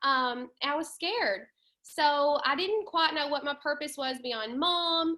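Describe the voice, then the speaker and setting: A woman with a Southern US accent, a high pitch and a very slow pace. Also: lively intonation. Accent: southern twang. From US South, western Tennessee. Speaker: network marketing leader. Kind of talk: webinar presentation. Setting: video call. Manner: casual, many filler ums.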